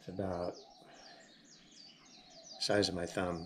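A man speaks against loud background noise. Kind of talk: tutorial. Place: home room. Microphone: camera far.

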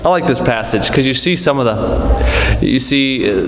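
Music plays in the background as a man talks at a moderate pace with audible room echo. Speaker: Sunday school teacher. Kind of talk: sermon. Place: church. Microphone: podium.

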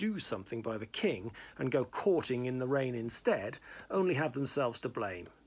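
This unforced reading voice has lively intonation.

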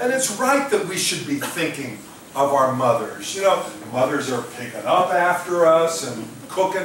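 Amid audible room echo and light background noise, a man speaks slowly at a high pitch with very wide pitch swings, keeping a fairly slow pace. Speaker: pastor. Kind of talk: sermon. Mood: warm, lightly humorous. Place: church.

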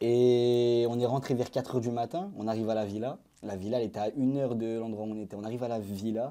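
Speaking at a very fast pace, a man has a dark, mellow tone and a medium pitch. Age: 20s. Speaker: former prisoner, social media creator; interview guest. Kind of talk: casual interview storytelling. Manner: animated. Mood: serious, recounting arrest and prison. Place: studio. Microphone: lapel.

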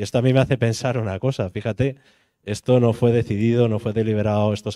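Over a quiet background, a man with a Spanish accent speaks in a fairly low, dark, mellow voice with fairly even intonation. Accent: Peninsular Spanish. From Spain. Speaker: housing activist; speaker. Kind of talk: panel discussion. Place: hall. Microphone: handheld.

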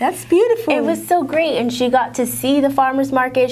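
A woman is speaking. Her pace is fairly quick. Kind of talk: interview conversation. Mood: cheerful, proud. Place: studio. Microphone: lapel.

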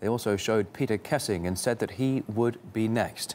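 This man speaks at a moderate pace with ordinary pitch variation. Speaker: news anchor. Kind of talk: TV news report. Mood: serious, somber. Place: studio.

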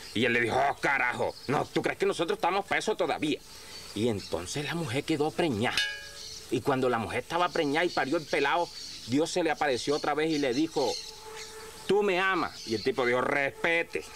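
Light background noise runs through the clip. The talking proceeds at a fairly quick pace. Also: man. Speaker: rural storyteller. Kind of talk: humorous folk storytelling. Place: farm machine.

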